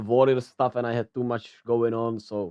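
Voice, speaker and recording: In a Czech accent, a man speaks at a moderate pace, recorded with a dry, close sound and no echo. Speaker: sports news youtuber. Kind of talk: casual news commentary. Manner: halting, many fillers.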